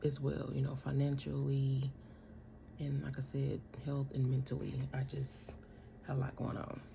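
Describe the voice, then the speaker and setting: Quiet whispering moves at a moderate pace with long, frequent pauses over noticeable background noise. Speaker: vlogger. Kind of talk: casual chat. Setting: at home. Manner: quiet, near whisper.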